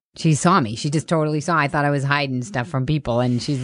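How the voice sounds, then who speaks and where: Very fast speech in a Boston accent against a quiet background. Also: woman. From Boston, Massachusetts. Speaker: comedian. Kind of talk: casual chat.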